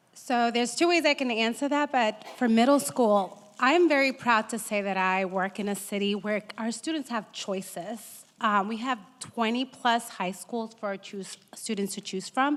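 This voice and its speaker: A woman's fairly high voice with an American accent, at a moderate pace with hardly any pauses and ordinary pitch variation. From Boston, Massachusetts. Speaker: school counselor. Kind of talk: panel discussion.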